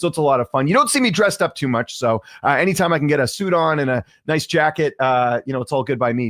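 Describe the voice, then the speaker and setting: A man at a very fast pace with lively intonation, on a very clean recording with a silent background. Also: dry, close sound with no echo. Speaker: sports interviewer. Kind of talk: live interview show.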